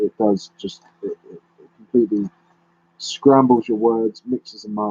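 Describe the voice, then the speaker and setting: A man speaks fairly quickly with a British accent in a fairly low voice with a dark, mellow tone. The sound is dry and close with no echo. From London, England. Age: 30s. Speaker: YouTuber. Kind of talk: live stream chat. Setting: live stream. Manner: halting.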